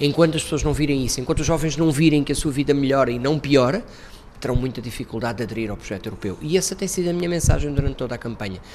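A man talks very fast with a fairly high pitch and ordinary pitch variation while noticeable background noise plays behind him. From Portugal, Montijo. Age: 40s. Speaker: politician, European Parliament candidate. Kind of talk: interview.

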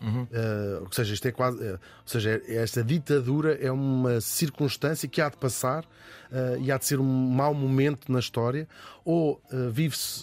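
An ordinary speaking voice with ordinary pitch variation goes at a moderate pace on a very clean recording with a silent background. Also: man, medium pitch for a man. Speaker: podcast host. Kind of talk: scripted narration.

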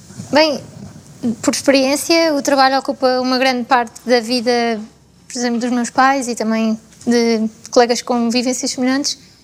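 At a moderate pace, a woman with a high pitch speaks in a monotone, flat intonation with long, frequent pauses. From central Portugal, Fátima area. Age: 20s. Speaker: environmental scientist. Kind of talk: panel discussion.

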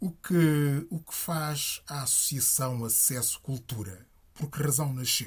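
In a very clean recording with a silent background, a somewhat breathy man speaks at a very slow pace and fairly high pitch with ordinary pitch variation. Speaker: radio host. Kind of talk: radio interview. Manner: formal.

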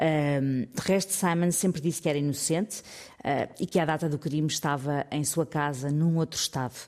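Very deep, low pitch from a woman speaking at a moderate pace. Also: ordinary pitch variation. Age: 50s. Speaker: radio columnist. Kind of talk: radio segment, news story telling.

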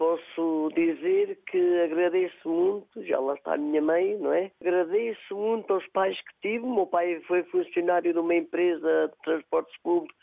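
A woman talks at a fairly slow pace with hardly any pauses, in a plain, everyday voice. Her pitch is fairly low and her intonation fairly even. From Portugal, Castro Daire (Viseu district). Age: 50s. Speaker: shop owner and regional sweets baker. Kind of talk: casual chat.

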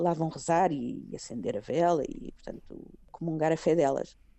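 Speaking at a fairly slow pace, the woman has an ordinary speaking voice with a fairly low pitch. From Portugal, Sintra. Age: 50s. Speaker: Portuguese emigrant. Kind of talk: interview.

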